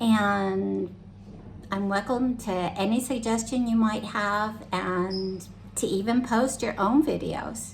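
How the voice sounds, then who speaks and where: Speaking very slowly with an American accent, a woman at a medium pitch keeps a fairly even intonation, and audible room echo surrounds her voice. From United States. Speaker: club activities organizer. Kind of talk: cooking tutorial. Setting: home kitchen. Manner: casual, many fillers.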